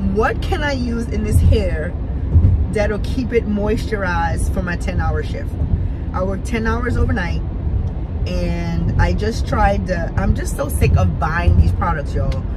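The woman speaks at a fairly slow pace, the sound dry with no echo. Music plays in the background. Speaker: vlogger. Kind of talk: casual vlog chat. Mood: playful, laughing. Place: car. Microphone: phone near.

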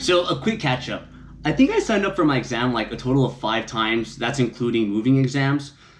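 Faint music plays in the background. A man speaks over it at a fairly quick pace. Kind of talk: casual vlog chat. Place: home room. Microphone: camera far.

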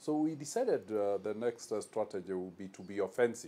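His voice has a dark, mellow tone and a fairly low pitch. The man shows ordinary pitch variation. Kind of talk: interview answer. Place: office. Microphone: lapel.

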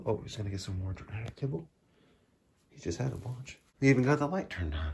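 Lively intonation carries a man's fairly low voice, which has vocal fry, a husky, rough edge and a slightly mellow tone.

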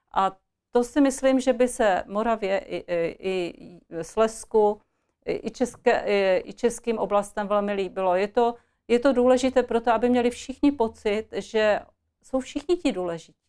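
A woman's fairly high voice with a dark, mellow tone and ordinary pitch variation, fairly slow, against a quiet background. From Czech Republic, Ostrava (Moravia-Silesia); Moravia-Silesia, Czech Republic. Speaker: politician, party candidate; politician, candidate. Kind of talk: political interview. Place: studio. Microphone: lapel.

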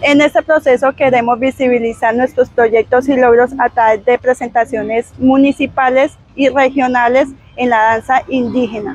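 A woman's high voice at a moderate pace, with fairly even intonation, very even loudness and a dry sound with no echo. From Colombian Amazon region. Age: 20s. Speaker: makeup artist and dancer. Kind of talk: scripted presentation. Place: waterside. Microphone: lapel.

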